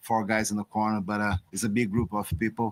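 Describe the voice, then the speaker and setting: In a Brazilian Portuguese accent, a man speaks at a moderate pace and a fairly low pitch, his intonation monotone and flat, the sound dry and close with no echo. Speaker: boxing trainer. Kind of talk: press conference. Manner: halting.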